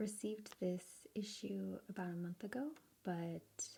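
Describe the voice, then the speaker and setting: A soft-spoken woman talks with an American accent at a very slow pace. Her voice is dark, mellow and somewhat breathy, with ordinary pitch variation. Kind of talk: ASMR magazine flip-through.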